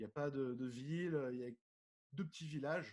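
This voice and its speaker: A man's voice with ordinary pitch variation. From southern France (Nice). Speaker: diving magazine publisher and underwater photographer. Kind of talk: casual interview.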